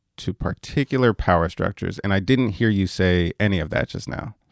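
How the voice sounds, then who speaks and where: A man with a normal speaking voice and a fairly low pitch talks with ordinary pitch variation in a dry, close recording with no echo, very clean and with a silent background. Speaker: radio host. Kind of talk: radio interview. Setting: radio studio.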